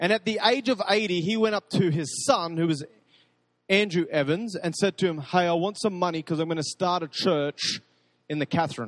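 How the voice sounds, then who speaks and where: Heard dry and close with no echo, a man with an Australian accent talks at a moderate pace and a high pitch, with ordinary pitch variation. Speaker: pastor. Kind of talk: sermon. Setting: church.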